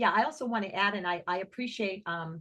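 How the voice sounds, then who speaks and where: At a fairly quick pace, a woman talks with a medium pitch and a normal speaking voice. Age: 60s. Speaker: singer and music teacher, activist. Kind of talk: online presentation Q&A. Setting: video call.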